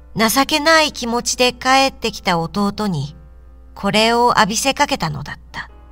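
Music plays in the background as a woman speaks at a fairly slow pace. Her fairly high voice has lively intonation. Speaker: audiobook reader. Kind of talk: literary reading for adults, audiobook narration.

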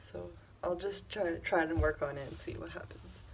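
There is light background noise. A woman speaks at a moderate pace. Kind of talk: casual vlog chat. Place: office. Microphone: phone near.

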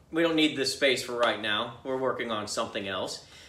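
Audible room echo surrounds a man whose voice has ordinary pitch variation. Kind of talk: tutorial. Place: workshop.

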